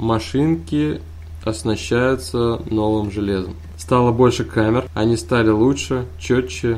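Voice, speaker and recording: A man's fairly low voice, at a very slow pace with lively intonation. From Kazan, Tatarstan. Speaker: podcast co-host, university IT support worker. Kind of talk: casual chat.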